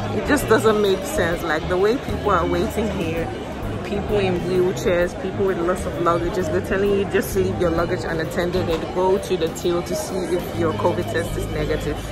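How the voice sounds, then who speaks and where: A woman speaks at a moderate pace. Loud music plays behind her. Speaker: travel vlogger. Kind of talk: casual vlog chat. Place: station. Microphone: phone near.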